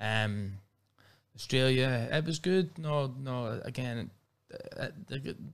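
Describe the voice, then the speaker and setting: A man speaks with a Northern Irish accent and ordinary pitch variation. The recording is very clean, with a silent background. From Northern Ireland, Belfast. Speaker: professional MMA fighter. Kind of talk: casual interview.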